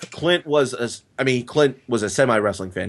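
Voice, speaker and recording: A man rattles along very fast with ordinary pitch variation, the background quiet. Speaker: comedian. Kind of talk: casual chat. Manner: halting.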